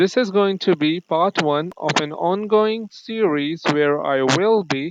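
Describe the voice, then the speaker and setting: Someone with a non-native accent speaks at a very slow pace against a quiet background. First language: not English. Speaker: gaming YouTuber. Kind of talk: gameplay commentary.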